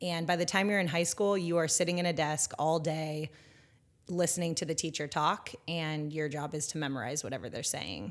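Speaking at a moderate pace with a West Coast American accent, a woman has a very deep, low pitch and ordinary pitch variation. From Northern California. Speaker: educator and former school principal. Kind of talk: interview conversation.

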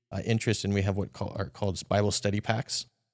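A man's ordinary speaking voice, fairly low in pitch and at a fairly quick pace, in a very clean recording with a silent background and a dry, close sound with no echo. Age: 40s. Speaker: software marketing director. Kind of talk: casual chat.

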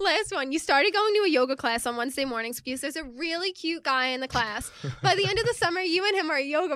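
A woman speaks very fast in a high voice, her pitch swinging very widely. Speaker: podcast co-host. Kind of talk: casual chat.

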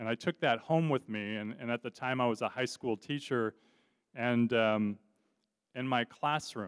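In a Californian accent, a man speaks at a moderate pace with ordinary pitch variation. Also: medium pitch for a man. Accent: Californian American English. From Southern California, Orange County. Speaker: guest preacher. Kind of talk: sermon. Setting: church.

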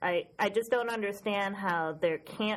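A woman with an American accent at a fairly slow pace. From Western New York, US. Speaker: book blogger and podcast co-host. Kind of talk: casual chat. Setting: studio. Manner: distinctive laugh.

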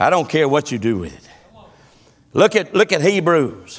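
A man with a Southern US accent speaks at a fairly quick pace in a fairly high pitch. His intonation is lively, with vocal fry. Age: 50s. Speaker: pastor. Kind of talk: sermon. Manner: animated.

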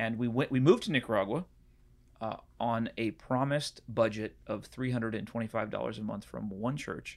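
A man talks at a fairly quick pace with medium pitch. The recording is very clean, with a silent background. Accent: American. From US West Coast (San Diego and Puget Sound, Washington). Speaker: preaching trainer and former pastor. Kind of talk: casual interview. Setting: office studio.

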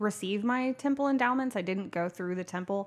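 Speaking with lively intonation and an American accent, a woman has a fairly high pitch and an unremarkable speaking voice. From Tulsa, Oklahoma. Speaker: guest sharing her life story. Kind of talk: casual interview chat.

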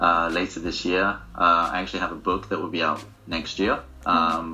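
With audible room echo, a man in an English accent speaks in a very deep, low voice. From England. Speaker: actor. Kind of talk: casual interview.

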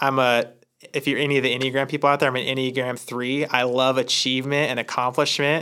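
An American-accented man talks at a very fast pace. His medium-pitched voice has a bright, sharp tone and monotone, flat intonation. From Oregon, US Northwest. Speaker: church staff member, pastors' son. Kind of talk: casual chat.

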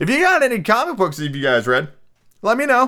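A man talks very fast in a bright, sharp tone. The recording is very clean, with a silent background. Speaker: podcast host. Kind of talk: casual monologue. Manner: chatty.

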